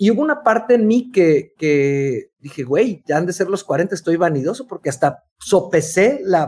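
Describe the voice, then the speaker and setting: A man with a Mexican accent speaks in a high pitch with lively intonation and hardly any pauses. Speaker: podcast co-host, writer and speaker. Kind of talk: casual chat.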